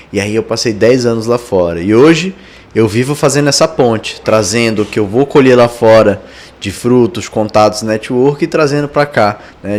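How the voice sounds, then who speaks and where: A man talks at a moderate pace with an Amazonian Brazilian accent. His pitch is medium, with ordinary pitch variation. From Amazonas, Brazil. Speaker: tech entrepreneur and investor. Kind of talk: podcast interview.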